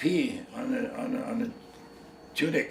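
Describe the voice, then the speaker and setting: This man speaks in a Canadian accent. Noticeable background noise and audible room echo are present. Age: 80s+. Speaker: war veteran. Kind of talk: interview. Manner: halting.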